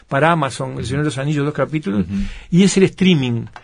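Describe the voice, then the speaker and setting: Somewhat breathy, a man with a fairly high pitch speaks against a quiet background. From Uruguay. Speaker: author and film producer; interviewee. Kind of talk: interview. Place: studio.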